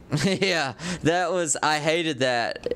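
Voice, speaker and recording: Using lively intonation, a man with a fairly high pitch speaks at a fairly slow pace. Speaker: gaming streamer. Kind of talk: live stream chat while gaming. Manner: casual, hesitant with many fillers.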